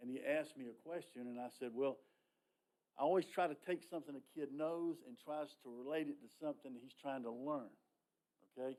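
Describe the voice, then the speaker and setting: A man with a Southern US accent has a dark, mellow tone and a fairly high pitch with ordinary variation. He speaks at a fairly quick pace, with big swings in loudness and long, frequent pauses. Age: 60s. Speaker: public commenter at county meeting. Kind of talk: public comment. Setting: county planning meeting. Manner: animated.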